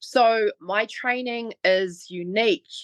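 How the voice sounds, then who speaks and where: The recording is dry and close with no echo, over a quiet background. The speaker has a New Zealand accent and ordinary pitch variation. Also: woman. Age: 40s. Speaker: online fitness trainer. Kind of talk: interview. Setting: podcast.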